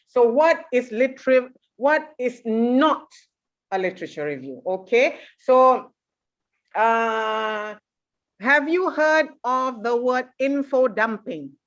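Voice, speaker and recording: A woman speaks in a high voice with lively intonation. Her pace is very slow, broken by long, frequent pauses. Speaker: university lecturer. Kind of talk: lecture. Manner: serious, stern-sounding.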